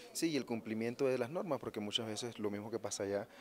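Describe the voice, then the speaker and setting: A man speaks at a very fast pace with a fairly low pitch. The sound is dry with no echo, over light background noise. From Panama. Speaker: psychologist; interviewee. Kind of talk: interview. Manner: halting. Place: hall. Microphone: handheld.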